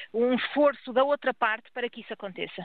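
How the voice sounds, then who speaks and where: Intonation stays fairly even. The speaker is a woman. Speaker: doctors' union president. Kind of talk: radio interview.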